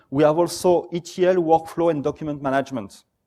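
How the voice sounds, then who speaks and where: A man speaks with a French accent and fairly even intonation. The recording is very clean, with a silent background. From France. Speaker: software company presenter. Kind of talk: conference talk.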